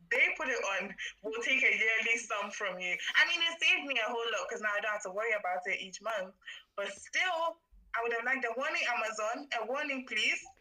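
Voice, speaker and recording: A woman at a fairly quick pace over noticeable background noise. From Ghana. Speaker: student support volunteer, business student. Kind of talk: casual chat; reading aloud.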